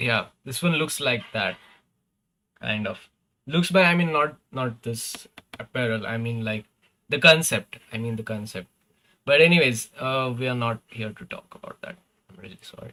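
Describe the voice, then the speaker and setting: A man with a non-native accent speaks at a moderate pace and medium pitch in a bright, sharp tone, with ordinary pitch variation, big swings in loudness and long, frequent pauses. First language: not English. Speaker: gaming streamer. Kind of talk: live stream commentary. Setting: live stream. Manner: casual, hesitant with fillers.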